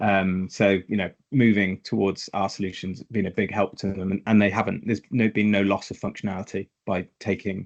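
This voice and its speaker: In a dry, close sound with no echo, a man speaks at a fairly low pitch and a moderate pace with monotone, flat intonation. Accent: British. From Britain. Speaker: tax software consultant. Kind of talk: webinar interview. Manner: hesitant, many repetitions.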